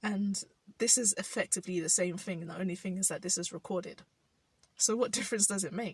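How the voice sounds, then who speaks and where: In a London accent, a woman speaks at a medium pitch and moderate pace with fairly even intonation, a somewhat breathy voice and a dry, close sound with no echo. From South London, England. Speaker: vlogger. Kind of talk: personal vlog reflection. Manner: halting.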